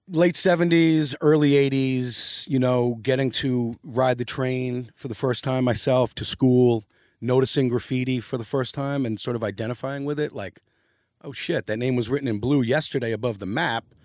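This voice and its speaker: Using a New York accent, a man talks at a moderate pace and a medium pitch with ordinary pitch variation. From New York City, downtown Manhattan. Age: 50s. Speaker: graffiti artist and designer. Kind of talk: casual interview.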